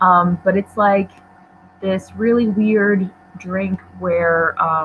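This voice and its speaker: Noticeable background noise sits behind a woman of medium pitch whose intonation is fairly even. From Poland. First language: Polish. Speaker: book YouTuber. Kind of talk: casual livestream chat. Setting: livestream on laptop.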